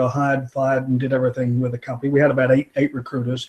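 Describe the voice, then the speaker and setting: A man's somewhat breathy, medium-pitched voice at a very fast pace, with monotone, flat intonation. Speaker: executive recruiter, firm owner. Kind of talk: interview. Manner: halting, many fillers.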